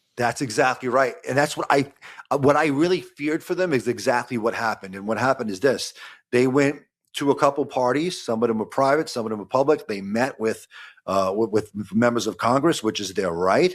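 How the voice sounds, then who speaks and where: In a Brooklyn accent, the speaker goes at a fairly quick pace with lively intonation on a very clean recording with a silent background. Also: man, medium pitch for a man. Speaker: lawyer. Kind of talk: podcast conversation. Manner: halting, repeats words.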